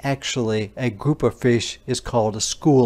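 The clip features an unforced reading voice. Nothing else stands out.

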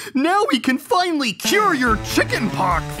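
A cartoonish character voice moves at a fairly slow pace. Its pitch swings very widely. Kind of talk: kids' cartoon comic acting. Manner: excited, earnest, jealous of the chicken.

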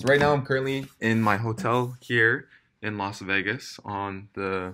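A man with a bright, sharp tone speaks at a fairly slow pace. There is light background noise. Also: ordinary pitch variation. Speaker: vlogger. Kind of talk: casual vlog chat. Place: home room. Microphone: phone near.

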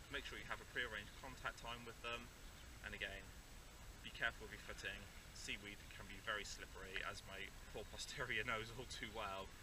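A man at a fairly quick pace, dry sound with no echo, noticeable background noise. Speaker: nature vlogger. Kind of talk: educational outdoor vlog talk. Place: beach. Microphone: camera far.

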